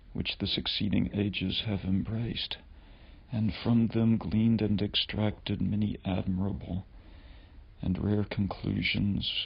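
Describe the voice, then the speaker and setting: A soft-spoken man talks at a fairly slow pace, his voice somewhat breathy. His pitch sits fairly low, and his intonation stays fairly even. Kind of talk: ASMR reading of a historical text.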